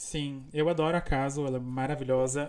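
A man with a southern Brazilian accent, fairly high pitch, a dark, mellow tone, fairly even intonation and a moderate pace, in a very clean recording with a silent background. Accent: gaúcho Brazilian Portuguese. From Brazil, Rio Grande do Sul interior. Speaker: podcast host. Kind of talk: casual chat.

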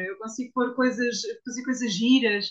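Her tone bright and sharp, a woman talks at a fairly slow pace with ordinary pitch variation. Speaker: copywriter. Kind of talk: interview testimony.

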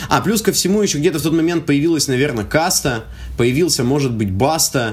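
This man's voice is fairly high and his intonation lively. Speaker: rap battle organizer. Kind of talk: casual chat. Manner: hesitant, many fillers.

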